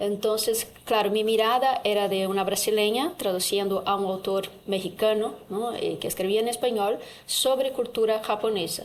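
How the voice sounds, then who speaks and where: A woman with a Portuguese accent talks at a moderate pace in a fairly high pitch, with ordinary pitch variation and hardly any pauses. Audible room echo and noticeable background noise sit around her voice. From Brazil. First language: Portuguese (speaking Spanish). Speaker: translation professor. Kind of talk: panel discussion. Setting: university auditorium.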